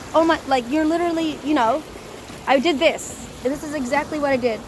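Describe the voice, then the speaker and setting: A woman with an American accent speaks at a moderate pace in a high pitch with ordinary pitch variation. Noticeable background noise sits behind her. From US Midwest, Chicago suburbs. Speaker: street preacher. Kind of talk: personal testimony.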